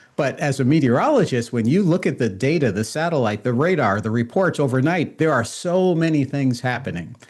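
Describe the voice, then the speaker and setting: Lively in intonation, a man with an American accent talks at a fairly high pitch with hardly any pauses and very even loudness. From New York. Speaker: meteorologist. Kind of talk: interview.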